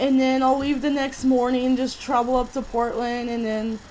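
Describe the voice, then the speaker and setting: A woman's high-pitched voice over noticeable background noise. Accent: American. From California. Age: 20s. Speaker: vlogger. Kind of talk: personal vlog monologue.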